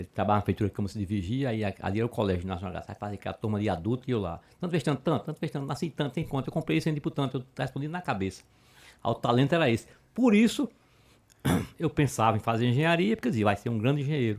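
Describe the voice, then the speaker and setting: A man in a northeastern Brazilian accent, very fast and lively in intonation, on a very clean recording with a silent background. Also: medium pitch for a man. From Murici, Alagoas, Brazil. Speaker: judge. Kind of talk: interview answer.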